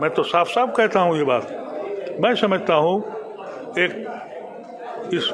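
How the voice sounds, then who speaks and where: Over noticeable background noise and audible room echo, a man talks at a high pitch with lively intonation and very even loudness. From India. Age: 70s. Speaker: former politician. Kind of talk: interview. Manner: impassioned.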